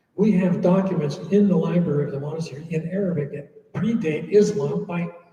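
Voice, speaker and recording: A man with an American accent speaks in a high pitch with ordinary pitch variation. There is audible room echo. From USA. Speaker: monk. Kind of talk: Q&A talk.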